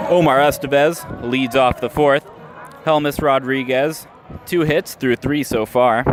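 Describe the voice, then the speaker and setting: Over noticeable background noise, a man at a fairly high pitch speaks at a fairly slow pace, with very even loudness and fairly even intonation. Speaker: radio play-by-play announcer. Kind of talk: live baseball radio play-by-play. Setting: ballpark, live game broadcast.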